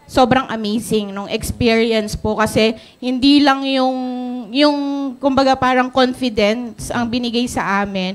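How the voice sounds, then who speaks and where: With a high pitch and fairly even intonation, a woman talks at a fairly slow pace. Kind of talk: testimonial speech on stage. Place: hall. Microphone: handheld.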